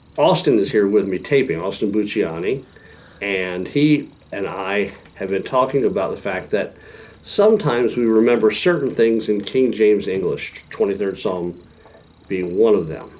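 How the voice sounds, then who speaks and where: Through noticeable background noise, a man with a fairly low pitch talks at a moderate pace with ordinary pitch variation. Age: 60s. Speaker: pastor. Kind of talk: devotional talk. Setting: recorded video with a helper.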